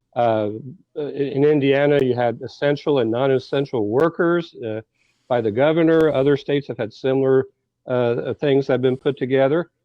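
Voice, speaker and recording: A man's unremarkable speaking voice at a medium pitch and a moderate pace. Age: 60s. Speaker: political commentator. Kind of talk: radio talk show discussion.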